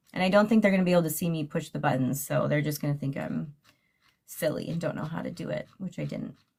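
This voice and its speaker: A woman talks at a very fast pace with a very deep, low pitch and vocal fry. Her pitch variation is ordinary. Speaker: true crime YouTuber. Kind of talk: livestream sign-off chat. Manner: loud; animated.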